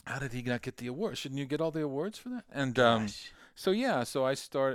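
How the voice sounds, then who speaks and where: In a very clean recording with a silent background, a man with an ordinary speaking voice and medium pitch talks at a moderate pace with lively intonation. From Kansas, US Midwest. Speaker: songwriter and inventor. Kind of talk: casual interview.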